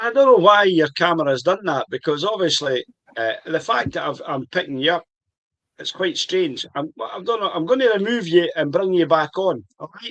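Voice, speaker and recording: A high-pitched man speaks with lively intonation. The sound is dry and close with no echo. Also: moderate pace. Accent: Scottish. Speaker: whisky tasting show host. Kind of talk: casual chat. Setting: video call livestream.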